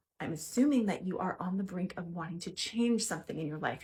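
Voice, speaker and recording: This woman's voice sits at a medium pitch with ordinary variation. It is somewhat breathy. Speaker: mental health coach. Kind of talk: tutorial. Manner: fast.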